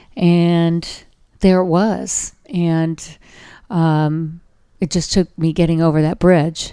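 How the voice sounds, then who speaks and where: A woman with an American accent speaks very slowly in a fairly low, dark, mellow tone with monotone, flat intonation, in a very clean recording with a silent background. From Southern California, Orange County. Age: 60s. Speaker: dog rescue founder. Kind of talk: casual interview. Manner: hesitant with frequent fillers.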